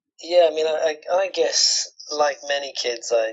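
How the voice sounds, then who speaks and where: A man speaks with a British accent. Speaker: musician. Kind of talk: interview.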